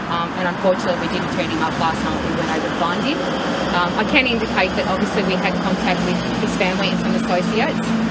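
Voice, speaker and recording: Very fast speech over loud background noise. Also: woman, ordinary pitch variation. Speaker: police spokesperson. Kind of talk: press conference answer. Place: street. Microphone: handheld.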